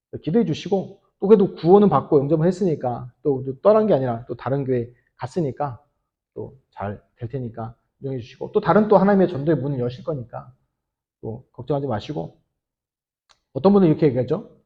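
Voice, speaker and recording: Moving at a fairly quick pace, a man with a fairly high, somewhat breathy voice shows very wide pitch swings and big swings in loudness. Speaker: pastor. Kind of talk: sermon. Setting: church. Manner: fast.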